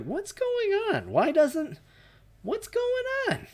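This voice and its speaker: This put-on character voice sits at an extremely high pitch and sounds squeaky. It moves at a very slow pace. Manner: confused, incredulous.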